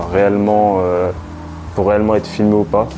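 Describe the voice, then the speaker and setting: Noticeable background noise behind a man with a fairly low pitch. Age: 20s. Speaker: vlogger and chemistry student. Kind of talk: casual vlog, room tour and self-introduction. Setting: at home in shared flat. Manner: hesitant, many fillers and repetitions.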